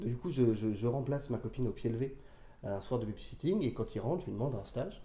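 Speaking very fast, this man has a medium pitch, ordinary pitch variation, a dark, mellow tone and a somewhat breathy quality. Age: 30s. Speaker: freelance copywriter. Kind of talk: interview. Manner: halting, with frequent repetitions.

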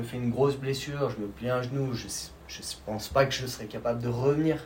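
A man's fairly quick speech with audible room echo and noticeable background noise. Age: 30s. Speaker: snowboard champion. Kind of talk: interview. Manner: halting, with many repetitions.

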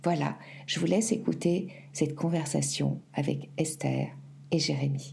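Audible room echo surrounds a woman speaking at a fairly slow pace. She leaves long, frequent pauses. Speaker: podcast host. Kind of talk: interview conversation.

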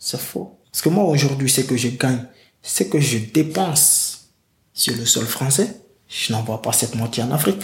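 An unremarkable speaking voice belongs to a man who talks at a fairly slow pace and medium pitch with lively intonation. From Guinea. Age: 20s. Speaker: migrant telling his story. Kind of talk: testimony.

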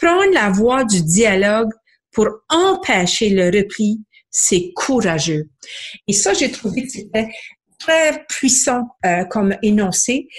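Very slow and full of long, frequent pauses, a woman speaks somewhat breathily at a fairly high pitch, her pitch swinging very widely while her loudness stays very even. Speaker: book club founder, book reviewer. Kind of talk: book review segment.

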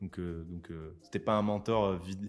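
A man's fairly even intonation comes through with music playing behind him. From southern France. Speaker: YouTuber, rap analyst. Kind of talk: casual interview chat. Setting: studio. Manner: halting, many repetitions.

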